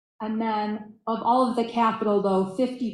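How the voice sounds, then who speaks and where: A woman speaks in a fairly high voice, with audible echo in the room. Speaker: state transportation official. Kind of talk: conference presentation. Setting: video call.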